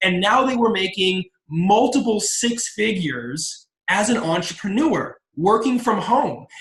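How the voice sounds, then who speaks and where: A man talks in an energetic, enthusiastic tone at a fairly slow pace. His pitch sits high, with lively intonation. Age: 20s. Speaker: entrepreneur and motivational speaker. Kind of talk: business opportunity pitch with personal testimony.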